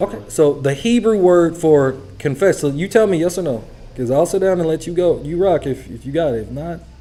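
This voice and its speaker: Music plays behind a man whose fairly high voice moves at a fairly quick pace with lively intonation. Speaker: Bible study teacher. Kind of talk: sermon. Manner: fast.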